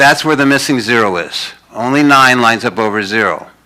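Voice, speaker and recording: The speaker moves at a fairly quick pace. Pitch varies in an ordinary way. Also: man. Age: 60s. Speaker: lecturer on numerical mathematics. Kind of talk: public lecture. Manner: fast, spewing it out.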